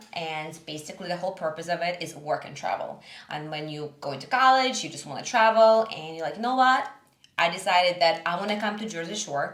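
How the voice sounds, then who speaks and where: A woman talks fairly quickly at a fairly low pitch with lively intonation. Her loudness swings widely, and room echo is audible. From Russia, Siberia. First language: Russian. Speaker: small business owner. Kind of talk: podcast interview.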